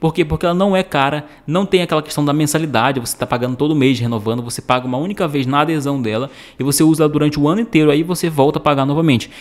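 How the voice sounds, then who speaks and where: In a Brazilian accent, a man with a fairly high pitch talks very fast with hardly any pauses and ordinary pitch variation. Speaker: YouTube IPTV promoter. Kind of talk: infomercial. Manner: pushy, repetitive sales-pitch delivery; casual, chatty, filler-heavy, addressing viewers as friends. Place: home room. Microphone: studio mic.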